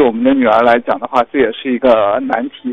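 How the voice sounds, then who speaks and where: A man with a plain, everyday voice, at a fairly quick pace, his intonation fairly even. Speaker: radio caller sharing a personal story. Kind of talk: personal storytelling.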